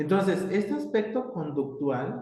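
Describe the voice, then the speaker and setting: Audible room echo surrounds a man speaking at a fairly slow pace. His pitch is high and his intonation lively. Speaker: university professor. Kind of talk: lecture. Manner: hesitant, many fillers.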